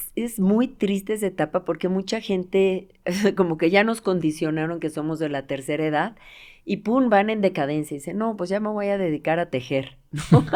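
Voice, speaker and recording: A woman's medium-pitched voice, a normal speaking voice, with ordinary pitch variation, a moderate pace and a quiet background. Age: 60s. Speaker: physiotherapist. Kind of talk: casual interview.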